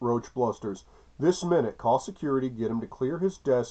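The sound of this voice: The reading is done in an unforced reading voice.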